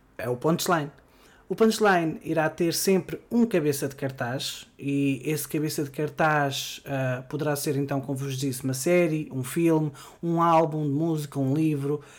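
Fairly slow-paced man in a European Portuguese accent, with a fairly high pitch. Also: ordinary pitch variation. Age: 20s. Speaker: podcast host. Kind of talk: solo podcast monologue. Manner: hesitant, frequent fillers.

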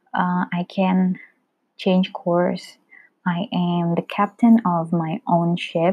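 A woman speaks at a very slow pace and a fairly low pitch. Her voice is somewhat breathy, with fairly even intonation. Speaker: solo podcaster. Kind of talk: casual monologue. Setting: home recording. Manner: informal, code-switching.

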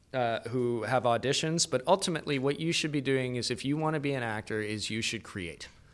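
A man speaks in a normal speaking voice with a Canadian accent, with ordinary pitch variation and hardly any pauses. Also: medium pitch for a man, fairly quick pace. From Canada, Calgary (Alberta). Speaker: actor, producer and writer. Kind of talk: casual interview chat.

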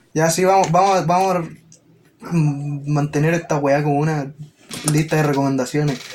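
At a fairly slow pace with long, frequent pauses, a man speaks at a fairly high pitch with fairly even intonation and very even loudness, over noticeable background noise. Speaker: podcast host. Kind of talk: casual chat.

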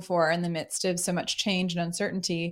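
A woman's fairly low voice in a very clean recording with a silent background. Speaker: speaker and workshop facilitator. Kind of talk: interview.

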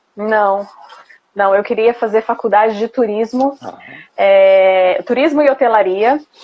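At a fairly slow pace, a woman speaks in a plain, everyday voice with a fairly high pitch and ordinary pitch variation. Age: 30s. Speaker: former flight attendant. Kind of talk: interview. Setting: Instagram live stream.

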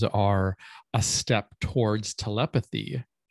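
On a very clean recording with a silent background, a man speaks at a medium pitch with ordinary pitch variation, and the sound is dry and close with no echo. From rural Minnesota. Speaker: author, poet and meme artist. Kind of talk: casual interview chat. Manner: halting, many fillers.

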